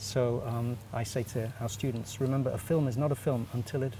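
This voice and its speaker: His tone is dark and mellow, with a somewhat breathy quality. The man's pitch is medium. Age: 60s. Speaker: animation director and teacher, festival juror. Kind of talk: interview. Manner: halting, many fillers.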